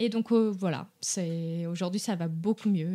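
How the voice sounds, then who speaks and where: Recorded very cleanly against a silent background, a woman with a fairly low pitch and a dark, mellow tone speaks at a moderate pace. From Brazil. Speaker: dog behaviour consultant. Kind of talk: podcast interview. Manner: halting, many hesitations.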